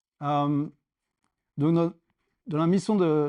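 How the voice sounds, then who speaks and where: A man's fairly high voice with a dark, mellow tone, a fairly slow pace, fairly even intonation and a quiet background. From France. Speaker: startup founder and cloud engineer. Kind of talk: tech meetup talk. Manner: hesitant, many fillers.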